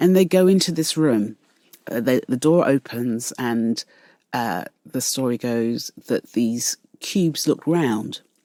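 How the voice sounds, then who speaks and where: A woman with a British accent, very deep and low in pitch, a dark, mellow tone and lively intonation at a very slow pace, in a dry, close sound with no echo. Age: 60s. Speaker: artist. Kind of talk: interview. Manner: calm; halting.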